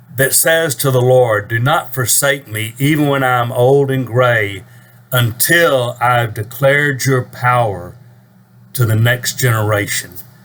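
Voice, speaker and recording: At a fairly slow pace, a man with a plain, everyday voice speaks at a medium pitch with ordinary pitch variation. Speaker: preacher. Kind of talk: casual talk to camera.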